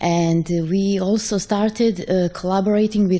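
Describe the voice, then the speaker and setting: A woman speaks at a medium pitch with ordinary pitch variation. Noticeable background noise sits behind her. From Serbia. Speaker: open source contributor asking a question. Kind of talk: audience question at a conference.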